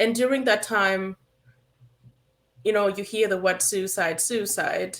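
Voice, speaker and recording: In a Ugandan accent, a woman speaks at a moderate pace with a bright, sharp tone. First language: Acholi. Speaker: therapist, suicide prevention specialist. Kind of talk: interview talk show.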